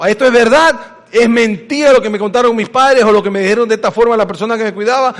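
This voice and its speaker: Noticeable background noise behind a man's high voice and its ordinary pitch variation. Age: 60s. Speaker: pastor. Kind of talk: sermon.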